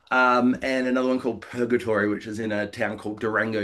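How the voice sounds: A man with an Australian accent talks at a fast pace. His tone is fairly bright, with little pitch movement.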